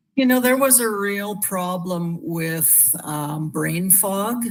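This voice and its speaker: Very slow speech over noticeable background noise. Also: woman. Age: 60s. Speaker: wellness product user sharing testimonial. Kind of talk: testimony. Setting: live video stream.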